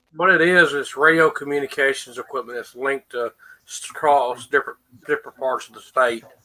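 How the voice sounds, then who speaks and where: With a Southern US accent, a man speaks at a moderate pace in a fairly high pitch with ordinary pitch variation. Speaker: radio communications technician. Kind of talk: casual chat.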